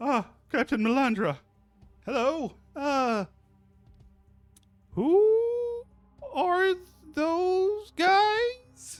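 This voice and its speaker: A squeaky, put-on character voice at a very slow pace, broken by long, frequent pauses, with music playing in the background. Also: man. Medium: actual play.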